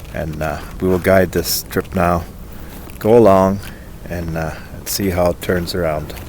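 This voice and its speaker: A man with a very deep, low pitch, fairly even intonation, big swings in loudness, a fairly slow pace and long, frequent pauses, over noticeable background noise. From Germany, moved to British Columbia as a child. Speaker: outdoor vlogger. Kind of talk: casual vlog narration. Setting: outdoors by a river. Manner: halting with many fillers.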